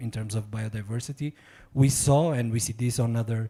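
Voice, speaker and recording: This voice carries a dark, mellow tone. There is some breathiness to it. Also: man. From Portugal. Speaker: diplomat. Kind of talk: audience question at symposium.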